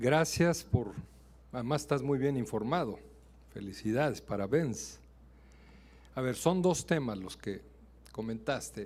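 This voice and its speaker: A man with a Mexican accent speaks at a fairly slow pace, with long, frequent pauses and vocal fry. His intonation is lively, and audible room echo surrounds him. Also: medium pitch for a man. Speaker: ambassador, diplomat. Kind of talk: answering questions after a lecture. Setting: university auditorium.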